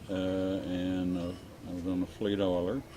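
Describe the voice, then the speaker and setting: A man with a Texan accent speaks at a very deep, low pitch. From Texas. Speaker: real estate developer, war veteran. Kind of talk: oral history interview. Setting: winery cafe. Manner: halting, many fillers.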